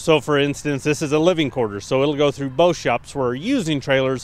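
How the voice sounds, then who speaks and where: A male speaker, moderate pace, dry sound with no echo. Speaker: trailer salesperson. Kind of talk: product walkaround presentation. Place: open country.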